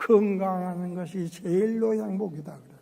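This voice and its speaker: Audible room echo follows a man speaking with fairly even intonation. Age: 80s+. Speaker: pastor. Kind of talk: sermon.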